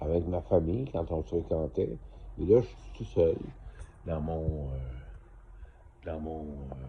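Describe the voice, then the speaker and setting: A man with a very deep, low, somewhat breathy voice speaks at a very slow pace with long, frequent pauses. His intonation is lively, and his loudness swings widely. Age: 60s. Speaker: vlogger. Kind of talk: casual monologue to camera. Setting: motel room. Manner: halting, many fillers.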